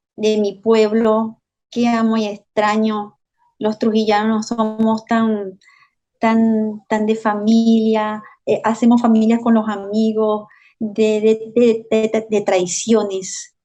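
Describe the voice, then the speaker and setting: A woman talks at a very slow pace in a fairly high pitch, her dark, mellow tone carrying monotone, flat intonation and very even loudness. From Venezuela, Valera, Trujillo state (Andes). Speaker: social worker and journalist, migrant. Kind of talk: interview testimony. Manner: hesitant, repeats words.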